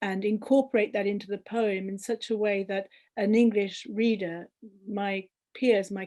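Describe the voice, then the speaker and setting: A woman talks in a Colombian accent at medium pitch and a moderate pace. Her intonation is fairly even, over a quiet background. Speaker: poet. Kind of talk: panel discussion. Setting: video call. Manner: halting.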